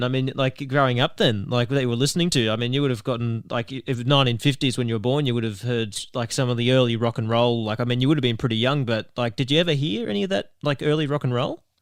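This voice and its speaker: Speaking very fast, this man leaves hardly any pauses. His voice sits at a medium pitch and varies in an ordinary way. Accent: Australian. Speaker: podcast host. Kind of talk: interview.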